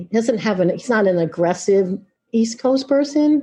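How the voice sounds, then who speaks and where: A woman with an American accent, a fairly high pitch, very wide pitch swings and a moderate pace. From New York, Long Island. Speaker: music venue executive. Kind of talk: podcast interview. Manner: animated.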